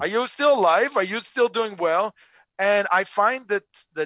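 With lively intonation and a high pitch for a man, he talks at a moderate pace. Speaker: author and remote work expert. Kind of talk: casual interview chat. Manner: animated; excitable.

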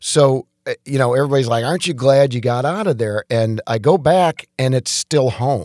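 Recorded with a dry, close sound with no echo, a man with an American accent uses a normal speaking voice at medium pitch, ordinary pitch variation and a moderate pace. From Detroit, Michigan (US Midwest). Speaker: chiropractor. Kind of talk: casual interview.

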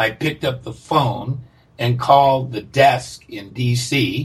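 A man speaks at a very slow pace with vocal fry. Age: 60s. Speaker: recovering alcoholic, group member. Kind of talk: casual interview conversation. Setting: remote call.

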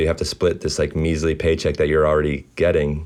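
Against a quiet background, a man with an American accent talks at a very fast pace in a very deep, low pitch. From Baltimore, US East Coast. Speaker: artist and filmmaker. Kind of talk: casual interview chat.

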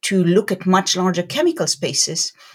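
Somewhat breathy, a woman speaks at a fairly slow pace. The recording is very clean, with a silent background. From southern Israel (Beersheba). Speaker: tech company CEO and chemist. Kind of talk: interview.

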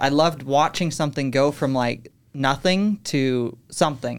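The speaker has a western US accent and talks at a moderate pace. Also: very clean recording, silent background. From Utah. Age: 20s. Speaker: podcast studio manager. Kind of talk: interview. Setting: studio.

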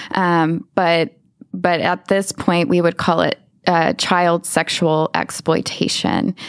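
A woman with an American accent and a fairly low pitch, at a very slow pace with very even loudness and fairly even intonation. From Texas, Lubbock. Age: 30s. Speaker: survivor of child exploitation, nonprofit director. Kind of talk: interview testimony. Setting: studio. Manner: halting.

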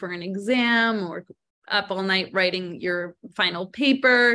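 An unremarkable speaking voice goes at a fairly slow pace, showing ordinary pitch variation. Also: woman. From Canada. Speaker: psychologist. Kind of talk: interview.

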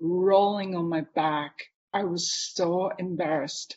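A woman talks at a very slow pace with a Japanese accent. Her intonation is fairly even. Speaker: artist and author. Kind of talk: interview conversation. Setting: live online video conversation.

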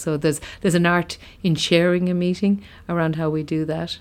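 A woman with a Limerick accent speaks in a monotone, flat intonation. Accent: Irish (Limerick). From Ireland, County Limerick. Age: 40s. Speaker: company managing director. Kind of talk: interview.

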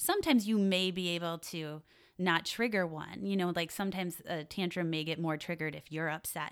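A woman with an American accent and an ordinary speaking voice, fairly low in pitch, fairly quick and fairly even in intonation, on a very clean recording with a silent background. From Wisconsin, US Midwest. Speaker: parenting educator. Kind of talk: podcast interview. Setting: studio.

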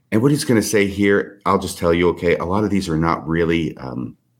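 At a fairly quick pace, a man speaks in a very deep, low pitch. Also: hardly any pauses. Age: 60s. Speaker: podcast guest discussing religious history. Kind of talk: casual chat. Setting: video call.

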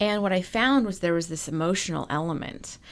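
In a very clean recording with a silent background, a woman uses a normal speaking voice at a fairly low pitch with lively intonation. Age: 40s. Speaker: emotional intelligence coach. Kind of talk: interview.

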